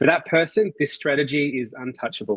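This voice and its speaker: A man with an Australian accent talks at a very fast pace, the sound dry and close with no echo. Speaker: mortgage strategy presenter. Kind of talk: online workshop presentation.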